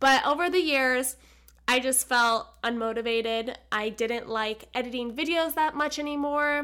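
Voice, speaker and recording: A woman's raised, projected voice, high in pitch with a bright, sharp tone, animated and fairly slow, on a very clean recording with a silent background. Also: ordinary pitch variation. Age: 20s. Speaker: podcast host. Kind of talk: casual monologue. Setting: at home, sitting on a chair.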